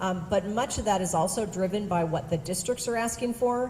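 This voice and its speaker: A woman talks at a fairly quick pace with ordinary pitch variation. She has a plain, everyday voice. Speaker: education service district presenter. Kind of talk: presentation to school board. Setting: school board meeting.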